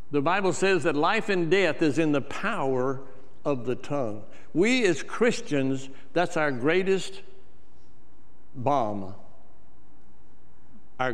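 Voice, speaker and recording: A man's very slow delivery with very wide swings in pitch. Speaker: church preacher / minister. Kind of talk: sermon delivery. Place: church. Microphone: lapel.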